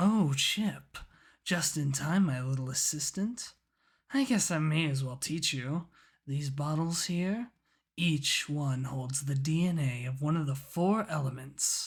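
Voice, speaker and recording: This put-on character voice sits at a low-to-middle pitch and goes at a fairly slow pace, captured in a very clean recording with a silent background. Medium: audio drama. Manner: smug, self-assured.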